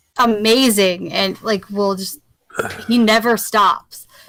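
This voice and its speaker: Very slow, monotone, flat speech from a woman at a fairly high pitch, with music in the background. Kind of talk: casual chat. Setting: video call. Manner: halting, stumbling over words.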